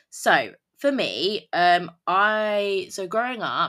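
Heard on a very clean recording with a silent background, the speaker has a British accent and a bright, sharp tone. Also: woman. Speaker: podcast host. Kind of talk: casual solo podcast monologue. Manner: casual, conversational, filler words.

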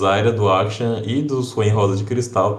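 Fairly low, flat, monotone male voice at a fairly slow pace, with audible room echo. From Brazil, interior. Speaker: podcast co-host. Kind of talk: casual chat.

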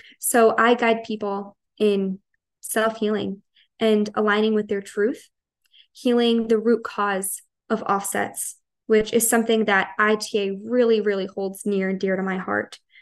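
Using an American accent, a woman talks at a fairly slow pace and a fairly high pitch, in monotone, flat intonation. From Long Island, New York. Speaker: holistic wellness counselor and energy healer. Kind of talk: podcast interview.

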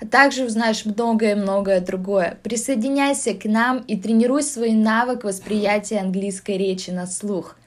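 A woman with a Russian accent speaks at a moderate pace in a fairly high voice with ordinary pitch variation, on a very clean recording with a silent background. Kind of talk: scripted intro narration.

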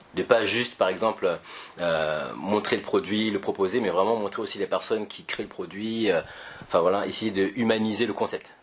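Noticeable background noise sits under the recording. The man speaks at a moderate pace. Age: 20s. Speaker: podcast host, entrepreneur. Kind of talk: casual interview. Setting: startup campus office.

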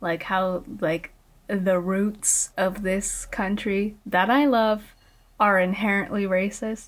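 Delivered with fairly even intonation in a Californian accent, the recording is very clean with a silent background. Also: woman. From immigrated to the US at age five. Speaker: podcast host and college student. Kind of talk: casual chat.

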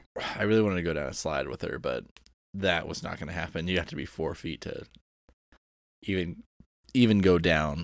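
A man uses a put-on character voice, raspy and very deep in pitch. He talks at a fairly quick pace, with long, frequent pauses. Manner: monotone, flat delivery.

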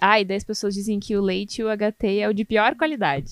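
A woman in a plain, everyday voice speaks at a medium pitch with ordinary pitch variation. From southern Brazil, Canoas near Porto Alegre. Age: 20s. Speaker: food quality analyst. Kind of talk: casual interview.

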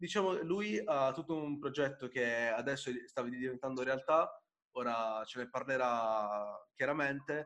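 A man speaks at a fairly slow pace in an unremarkable speaking voice. His pitch varies in an ordinary way. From Apulia, southern Italy (Bari). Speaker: podcast host. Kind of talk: casual interview chat.

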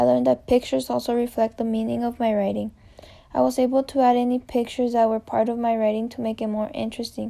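On a very clean recording with a silent background, a woman speaks at a very fast pace with a Spanish accent. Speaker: college student. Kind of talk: reading aloud a personal reflection essay.

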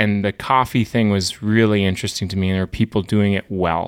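A man with an Upper Midwest accent speaks in a fairly low voice. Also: very clean recording, silent background. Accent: Upper Midwest American. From North Dakota (small town). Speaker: coffee roaster business owner. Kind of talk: interview.

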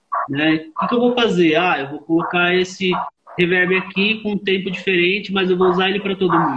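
The man has a high voice and speaks at a moderate pace. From Osasco, São Paulo, Brazil. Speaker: live and studio sound engineer. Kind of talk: casual interview chat. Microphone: on 4G connection.

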